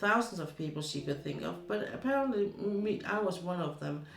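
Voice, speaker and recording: A woman speaks with a Danish accent and lively intonation. Noticeable background noise and audible room echo are present. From Denmark. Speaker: streamer. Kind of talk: casual chat. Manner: halting.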